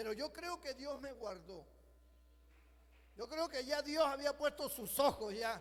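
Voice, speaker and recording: A man speaks at an extremely high pitch with lively intonation and an animated tone. His pace is fairly slow. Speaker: pastor. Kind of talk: sermon.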